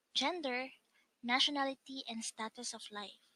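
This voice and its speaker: Dry and close with no echo, a woman's high voice comes across raised and projected, with a bright, sharp tone. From Philippines. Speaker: online English tutor. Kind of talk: self-introduction to camera.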